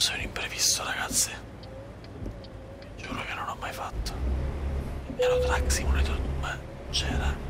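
Someone whispers in a relaxed tone with long, frequent pauses over noticeable background noise. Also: moderate pace. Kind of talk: ASMR gameplay commentary. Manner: whispered; soft-spoken, relaxed.

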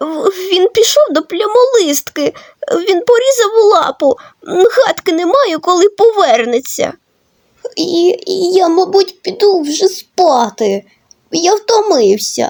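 Putting on a character voice, a woman speaks at an extremely high pitch. Her pace is fairly slow. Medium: machinima. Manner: stammering, hesitant.

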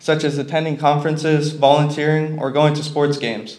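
At a fairly quick pace, a man speaks with a fairly high pitch. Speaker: college student; speaker. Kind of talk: prepared speech. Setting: stage with audience. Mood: earnest, slightly nervous. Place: hall. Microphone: podium.

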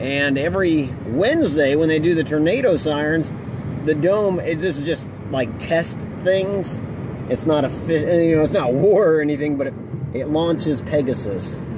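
Amid noticeable background noise but with a dry sound and no echo, a man with an American accent talks at a moderate pace with ordinary pitch variation. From central Ohio. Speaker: gaming YouTuber. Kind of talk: casual vlog commentary. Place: car.

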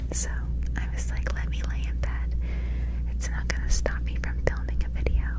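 Whispering and soft-spoken, a woman speaks at a fairly slow pace in a dry sound with no echo, against loud background noise. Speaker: ASMR creator. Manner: close-mic soft whisper. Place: home room. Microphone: studio mic.

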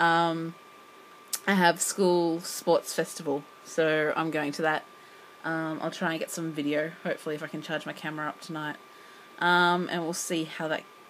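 Over light background noise, a woman speaks with monotone, flat intonation. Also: fairly low pitch for a woman, moderate pace. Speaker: English teacher vlogger. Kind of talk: casual vlog chat. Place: home room. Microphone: phone near.

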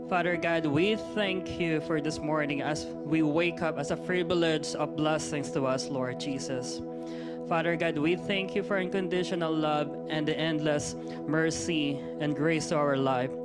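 A man speaks at a moderate pace against loud background music. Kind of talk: scripture reading and opening prayer. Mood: earnest, reverent. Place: church. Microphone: handheld.

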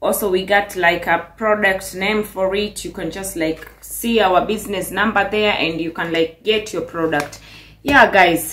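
A woman talks at a fairly slow pace. She speaks with a Kenyan accent. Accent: Kenyan English, noticeable. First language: Swahili. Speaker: vlogger. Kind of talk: vlog monologue, casual. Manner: animated, upbeat, chatty. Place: kitchen. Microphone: phone near.

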